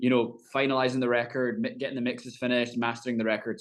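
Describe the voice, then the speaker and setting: A man's very fast, monotone delivery with flat intonation, in a Scottish accent. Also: quiet background. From Scotland. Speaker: country singer. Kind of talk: interview.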